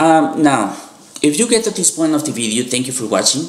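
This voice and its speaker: A man's fairly high voice with a non-native accent amid noticeable background noise. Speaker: youtuber, animation fan. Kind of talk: video commentary monologue. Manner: halting, with frequent fillers.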